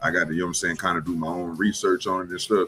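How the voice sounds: Fast-paced and low, a man talks with fairly even intonation at a very fast clip. His tone is bright and sharp, with a slightly husky edge.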